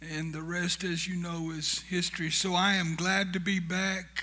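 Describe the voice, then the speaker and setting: A man raises and projects his voice at a high pitch, moving at a fairly slow pace. His intonation is monotone and flat, with audible room echo around him. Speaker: founder of a humanitarian charity, guest speaker. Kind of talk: church talk. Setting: church. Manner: humorous, conversational.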